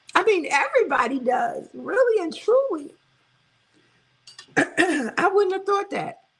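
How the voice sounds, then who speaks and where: A woman with a Brooklyn accent speaks at a fairly slow pace. Her tone is animated, with very wide pitch swings. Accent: New York (Brooklyn). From New York City, Brooklyn. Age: 60s. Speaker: weight loss vlogger, live stream host. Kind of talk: casual live stream chat reading comments.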